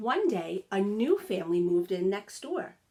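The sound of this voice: A woman's dark, mellow voice at medium pitch, with big pitch swings and a fairly slow pace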